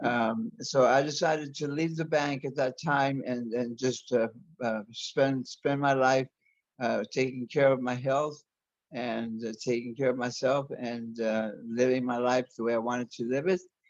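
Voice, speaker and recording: A man with an American accent, fairly even intonation and a fairly slow pace. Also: medium pitch for a man. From US Southwest, Arizona. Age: 60s. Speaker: interview guest, body modification enthusiast. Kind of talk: interview. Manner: halting, many repetitions and false starts.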